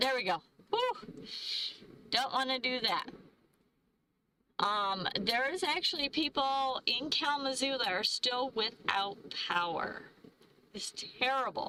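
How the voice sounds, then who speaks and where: Raising and projecting her voice, a woman speaks at a fairly slow pace with long, frequent pauses. Her pitch is high and her intonation lively. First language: not English. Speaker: van-life travel vlogger. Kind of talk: live stream chat. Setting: live stream. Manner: halting, stumbling over words.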